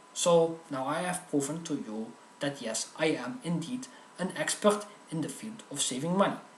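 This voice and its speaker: A high-pitched man's voice with lively intonation at a moderate pace, plus noticeable background noise and audible room echo. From Netherlands. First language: Dutch. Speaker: comedic video host. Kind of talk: comedic tutorial monologue.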